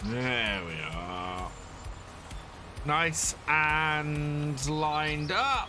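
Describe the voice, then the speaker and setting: A man with a British accent, fairly high in pitch, at a very slow pace with long, frequent pauses and lively intonation, audible room echo and music in the background. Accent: British, like Bear Grylls. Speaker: game streamer. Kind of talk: live gameplay commentary. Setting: live stream. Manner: casual, rambling with fillers.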